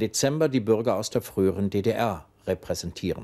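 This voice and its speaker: Ordinary pitch variation runs through a man's voice with a dark, mellow tone. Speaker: news anchor. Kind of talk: television news reading. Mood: calm, formal, measured. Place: studio.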